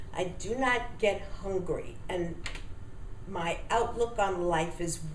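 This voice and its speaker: Over light background noise and audible room echo, a woman speaks very slowly with ordinary pitch variation. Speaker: testimonial giver. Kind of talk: customer testimonial. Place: home room. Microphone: webcam.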